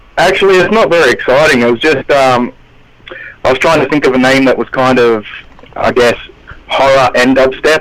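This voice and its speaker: There is noticeable background noise as a man with an Australian accent talks at a moderate pace, his fairly high pitch showing ordinary variation. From Australia, southwest Sydney. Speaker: underground rapper. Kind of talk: radio interview.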